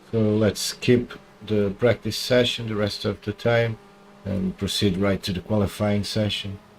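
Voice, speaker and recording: A man with a Portuguese accent speaks at a fairly slow pace and a fairly low pitch. His intonation is monotone and flat, with noticeable background noise behind him. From Portugal. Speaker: gaming streamer. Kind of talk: live gameplay commentary.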